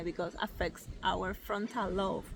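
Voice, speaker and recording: At a fairly slow pace, a woman with a non-native accent speaks at medium pitch in a bright, sharp tone with ordinary pitch variation. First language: not English. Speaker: spiritual content creator. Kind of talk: casual vlog monologue. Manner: halting, many fillers.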